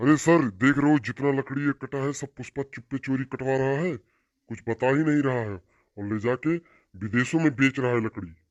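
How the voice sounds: Using a cartoonish character voice, a man talks at a medium pitch and a moderate pace. The background is quiet. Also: ordinary pitch variation, dry, close sound with no echo.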